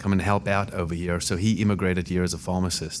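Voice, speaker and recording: A man's very deep, low voice in a South African accent at a moderate pace. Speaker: immigration lawyer. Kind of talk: podcast interview. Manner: hesitant, many fillers.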